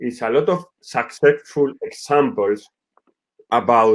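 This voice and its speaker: Speaking in a Spanish accent, the man keeps his intonation fairly even. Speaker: football director. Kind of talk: webinar presentation. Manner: halting.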